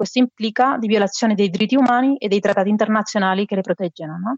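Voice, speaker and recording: A woman's fairly high voice with a Spanish accent and ordinary pitch variation. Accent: Spanish accent in Italian. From Spain, Barcelona. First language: Spanish or Catalan (speaking Italian). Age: 40s. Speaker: migration expert, NGO member. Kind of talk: interview.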